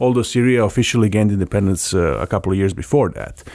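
The speaker is a man with a Serbian accent. His pitch is fairly low, with ordinary pitch variation. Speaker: democracy NGO program director. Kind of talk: interview.

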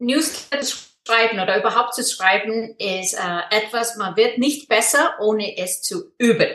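With an Icelandic accent, a woman speaks with a fairly high pitch and lively intonation, leaving hardly any pauses. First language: Icelandic (speaking German). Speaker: online business mentor. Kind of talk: interview. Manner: halting.

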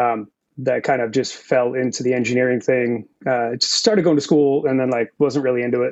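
A man with an American accent and a normal speaking voice talks fairly quickly at a medium pitch, his intonation fairly even. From Massachusetts. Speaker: audio engineer. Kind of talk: casual interview. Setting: video call.

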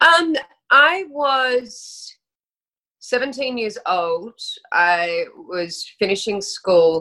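With an Australian accent, a woman speaks at a high pitch in a bright, sharp tone, her pitch swinging very widely. She goes at a very slow pace, with long, frequent pauses. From Australia (Sydney, then Brisbane). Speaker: actress. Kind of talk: casual chat.

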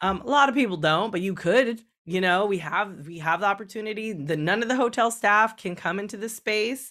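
On a very clean recording with a silent background, a woman with an American accent talks at a fairly quick pace and medium pitch, her tone animated, bright and sharp, with ordinary pitch variation and hardly any pauses. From California, small town. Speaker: sexologist and sex educator. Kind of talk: interview.

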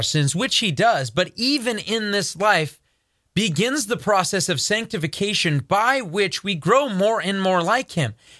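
Raised and projected, a man's high-pitched voice with a bright, sharp tone makes very wide pitch swings at a fairly slow pace on a very clean recording with a silent background. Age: 30s. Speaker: news commentary host at a ministry. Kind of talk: commentary show with scripture reading.

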